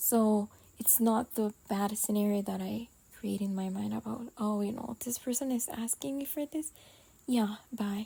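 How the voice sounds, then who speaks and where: A non-native accent at a fairly slow pace. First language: not English. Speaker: podcast host. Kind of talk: casual monologue vent. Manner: halting, many pauses.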